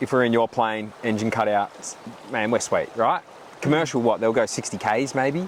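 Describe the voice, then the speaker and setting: The speaker has an Australian accent and ordinary pitch variation, talking at a moderate pace. Noticeable background noise runs under the voice. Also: man, medium pitch for a man. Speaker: podcast host. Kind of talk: casual chat. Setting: outdoors.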